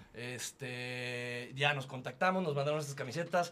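A man is speaking. His pace is moderate. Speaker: football fan podcast co-host. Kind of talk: casual chat. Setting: studio, in person. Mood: relaxed, joking. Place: studio. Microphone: studio mic.

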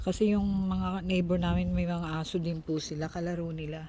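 A woman's dark, mellow tone at a moderate pace. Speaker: vlogger. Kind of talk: casual vlog narration.

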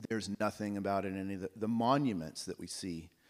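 The speaker talks with an American accent. The pitch varies in an ordinary way. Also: man, quiet background. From Oklahoma. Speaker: researcher; panelist. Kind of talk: lecture. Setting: stage with audience. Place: stage.

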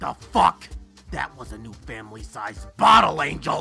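Faint music plays in the background behind a put-on character voice. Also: moderate pace. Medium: fan dub. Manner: gruff, irritated, sneering.

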